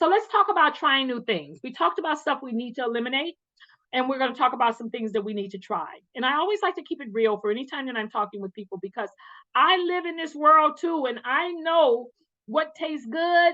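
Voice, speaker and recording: Loud and animated, a woman speaks at a fairly quick pace with a high pitch and very wide pitch swings. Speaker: wellness vlogger. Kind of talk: casual motivational talk.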